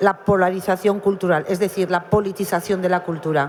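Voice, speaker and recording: A woman's medium-pitched voice in a monotone, flat intonation at a moderate pace, over noticeable background noise. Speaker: novelist. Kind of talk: panel discussion.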